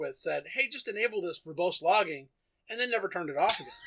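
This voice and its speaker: A man speaks at a very fast pace in a playful tone. His pitch is high, with a bright, sharp tone and lively intonation. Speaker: podcast co-host. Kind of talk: casual banter with technical discussion. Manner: joking, playful.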